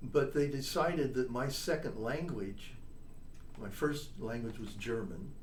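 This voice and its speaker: A man with an American accent at medium pitch, lively intonation and a fairly slow pace, amid audible room echo and noticeable background noise. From US Midwest. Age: 70s. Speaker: trombonist and composer. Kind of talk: interview.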